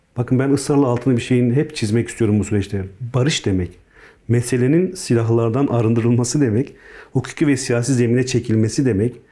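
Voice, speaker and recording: Speaking at a fairly quick pace, a man uses a medium pitch with ordinary variation. His tone is dark and mellow. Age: 40s. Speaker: politician, peace delegation member. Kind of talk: interview. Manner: hesitant, many fillers.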